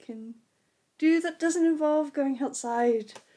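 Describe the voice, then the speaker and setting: On a very clean recording with a silent background, a woman mumbles with lively intonation. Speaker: book vlogger. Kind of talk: casual talk to camera. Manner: mumbling.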